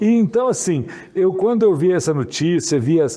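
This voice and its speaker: A man's dark, mellow tone with lively intonation. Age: 60s. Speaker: mayor and physician. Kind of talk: interview. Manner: casual, halting with repetitions.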